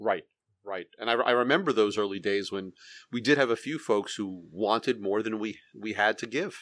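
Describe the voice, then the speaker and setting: A man speaks in a normal speaking voice at a moderate pace, with a fairly low pitch and ordinary pitch variation, on a very clean recording with a silent background. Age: middle-aged. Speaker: hop grower and podcast host. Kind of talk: casual chat. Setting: home basement studio.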